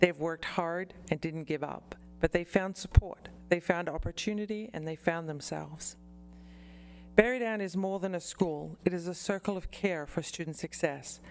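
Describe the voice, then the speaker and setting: A woman speaks at a fairly low pitch with ordinary pitch variation. Her volume shows big swings in loudness. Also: moderate pace. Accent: Australian. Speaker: college representative. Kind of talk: formal presentation.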